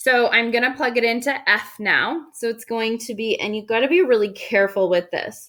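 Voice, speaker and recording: Loud and bright with a sharp tone, a woman talks at a fairly high pitch and moderate pace, with ordinary pitch variation and hardly any pauses. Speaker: high school math teacher. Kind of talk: recorded video lesson. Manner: casual, filler-heavy.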